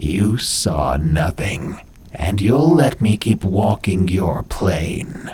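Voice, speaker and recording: In a put-on character voice, a man speaks at a very slow pace and a fairly low pitch over clear background noise. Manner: menacing, commanding.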